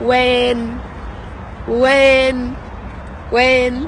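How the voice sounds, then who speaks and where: A woman speaks in an animated tone at a high pitch, with audible echo in the room. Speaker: family vlogger. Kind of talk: vlog to camera. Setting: in a car.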